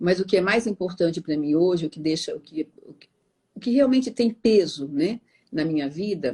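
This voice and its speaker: A woman's dark, mellow tone with lively intonation. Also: medium pitch for a woman, moderate pace. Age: 60s. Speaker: meditation teacher. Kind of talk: interview.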